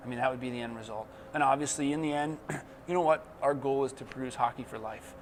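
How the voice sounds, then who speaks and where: A man with an American accent talks at a very fast pace in a medium pitch. His loudness swings widely, and background noise is noticeable. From New Jersey. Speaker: hockey coach and former player. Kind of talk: interview. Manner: casual, with many fillers.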